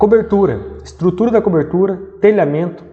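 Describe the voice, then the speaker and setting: The speech has lively intonation and a moderate pace, with noticeable background noise. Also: man. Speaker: civil engineer teaching construction management. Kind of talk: lecture.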